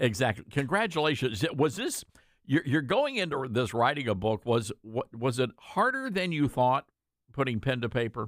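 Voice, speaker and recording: A man with a Southern US accent, lively intonation and a moderate pace, in a dry, close sound with no echo. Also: medium pitch for a man. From US South. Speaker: radio host. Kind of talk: interview. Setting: studio.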